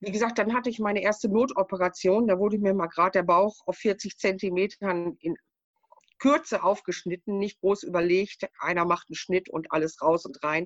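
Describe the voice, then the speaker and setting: A woman speaks in a plain, everyday voice at a medium pitch and moderate pace, with ordinary pitch variation and a dry, close sound with no echo. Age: 60s. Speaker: patient sharing her illness story. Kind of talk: casual interview.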